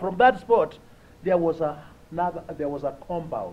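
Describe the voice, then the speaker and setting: A man talks with a Kenyan accent. His pitch swings very widely. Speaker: humanitarian speaker. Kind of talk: conference talk with personal stories.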